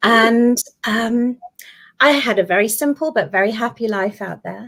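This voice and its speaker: A woman speaks at a fairly high pitch with a British accent. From UK. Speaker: guest. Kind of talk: testimony.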